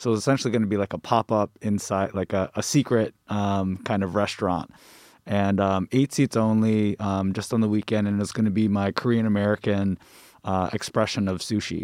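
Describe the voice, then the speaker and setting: A man's fairly low, fairly quick voice with fairly even intonation, a plain, everyday voice, dry and close with no echo, on a very clean recording with a silent background. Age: 30s. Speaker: mural artist. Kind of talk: casual chat.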